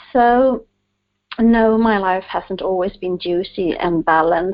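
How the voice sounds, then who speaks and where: Someone with a Swedish accent speaks at a very slow pace with ordinary pitch variation. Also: woman. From Sweden. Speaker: author, guest. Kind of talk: interview.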